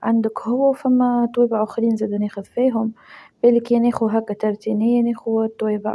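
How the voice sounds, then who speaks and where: Speaking with a Tunisian accent, a woman uses a dark, mellow tone at a fairly high pitch, with monotone, flat intonation and a moderate pace. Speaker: lifestyle vlogger. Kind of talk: casual vlog narration.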